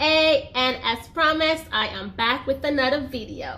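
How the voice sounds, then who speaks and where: The voice is raised and projected, bright and sharp in tone, moving at a moderate pace with ordinary pitch variation. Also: woman. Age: 20s. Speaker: YouTuber. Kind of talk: personal story vlog. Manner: casual, chatty.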